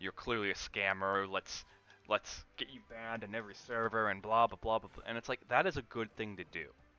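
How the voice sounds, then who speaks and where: Music plays in the background as the voice moves at a fairly quick pace with ordinary pitch variation, the sound dry and close with no echo. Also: man. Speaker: gaming streamer. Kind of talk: casual chat.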